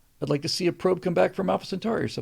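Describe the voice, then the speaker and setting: Vocal fry runs through a man's dark, mellow voice. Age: 60s. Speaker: live stream show host. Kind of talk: casual chat reading live viewer comments. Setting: live stream. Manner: halting, many fillers and restarts.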